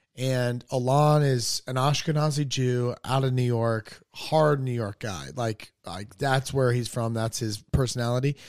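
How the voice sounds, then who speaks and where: A man speaks in a normal speaking voice at a fairly slow pace. His intonation is fairly even, and the recording is very clean with a silent background. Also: medium pitch for a man. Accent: American. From North Carolina (Hickory). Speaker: stand-up comedian. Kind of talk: casual chat.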